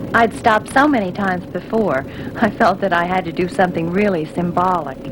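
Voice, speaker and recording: Over noticeable background noise, a woman talks at a fairly quick pace, her medium pitch showing ordinary variation. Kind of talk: scripted film testimonial.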